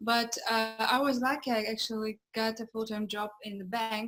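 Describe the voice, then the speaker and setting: In a Russian accent, a woman speaks at a fairly high pitch with monotone, flat intonation. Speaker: entrepreneur and dancer. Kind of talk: interview. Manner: halting.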